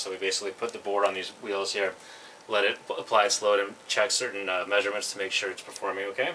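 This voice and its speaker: A man speaks at a very fast pace in a fairly low voice. Light background noise sits behind him. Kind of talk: tour explanation. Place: workshop. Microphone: camera far.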